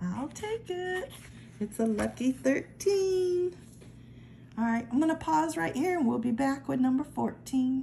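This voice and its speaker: With very wide pitch swings, a woman speaks at a high pitch and a fairly slow pace against light background noise. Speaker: lottery ticket scratching vlogger. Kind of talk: casual vlog commentary. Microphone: phone near.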